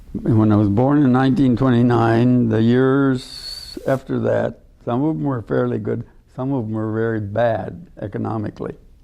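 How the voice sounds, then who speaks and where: An American accent at a moderate pace amid noticeable background noise. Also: man. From US Midwest, southern Minnesota. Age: 80s+. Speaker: retired wildlife professor. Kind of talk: interview, life story. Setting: auditorium with audience. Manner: halting.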